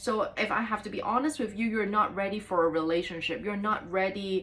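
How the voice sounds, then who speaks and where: This is a woman speaking. Her voice sits at a medium pitch. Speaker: tarot reader. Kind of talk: tarot reading. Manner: fast; hesitant with many fillers.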